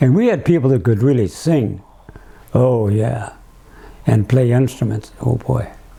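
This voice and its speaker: Amid noticeable background noise, a man speaks at medium pitch with very even loudness, ordinary pitch variation and long, frequent pauses. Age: 90s. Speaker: elderly interviewee. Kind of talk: reminiscing interview. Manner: halting; frequent repetitions.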